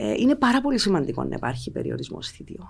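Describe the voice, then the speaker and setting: A woman speaks at a fairly quick pace with vocal fry. Her pitch swings very widely. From Cyprus (Limassol); Cyprus. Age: 40s. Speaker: politician and former TV journalist; politician, former TV journalist. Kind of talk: political interview. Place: studio. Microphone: studio mic.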